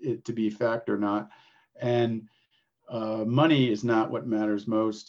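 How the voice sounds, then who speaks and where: A man speaks at a fairly slow pace in a medium pitch. He has an unremarkable speaking voice. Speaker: podcast host. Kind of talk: interview conversation.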